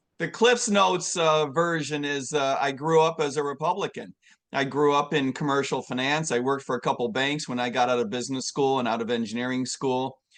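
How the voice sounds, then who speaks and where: Talking at a fairly quick pace with hardly any pauses, an unremarkable speaking voice comes through over a quiet background. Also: man, fairly high pitch for a man, ordinary pitch variation. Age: 60s. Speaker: presidential candidate. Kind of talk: interview.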